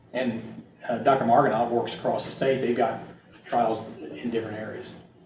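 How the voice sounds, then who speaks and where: A man with an American accent speaks at a fairly quick pace and a medium pitch. The room echo is audible and there is noticeable background noise. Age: 60s. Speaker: agronomist. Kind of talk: presentation Q&A. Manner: halting.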